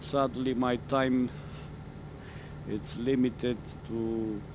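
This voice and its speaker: Speaking very slowly with a Romanian accent, a man uses a medium pitch with ordinary variation. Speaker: gaming streamer. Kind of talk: live gameplay stream chat. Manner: halting, many fillers.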